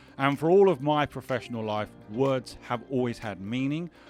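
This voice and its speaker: With music in the background, a man speaks at a moderate pace. His intonation is lively. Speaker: podcast host. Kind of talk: podcast interview.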